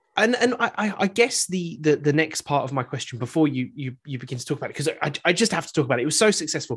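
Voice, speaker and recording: Very fast and animated, a man speaks at a fairly high pitch, somewhat breathy, his pitch swinging very widely. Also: hardly any pauses. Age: 30s. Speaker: podcast host. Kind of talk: casual interview chat. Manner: animated, jokey.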